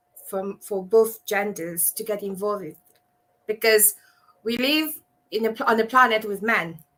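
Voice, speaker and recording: A woman speaks in a Mauritian accent at fairly high pitch. Her tone is bright and sharp. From Mauritius. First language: Mauritian Creole. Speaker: abuse survivor and advocate. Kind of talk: live panel discussion.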